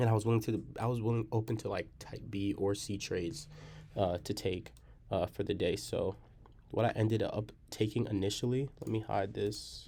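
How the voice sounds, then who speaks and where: A man speaks quietly at a fairly low pitch. His voice is somewhat breathy, with a dark, mellow tone. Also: fairly even intonation, moderate pace. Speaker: day trader. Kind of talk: trading recap tutorial. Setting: library. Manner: quiet, low voice.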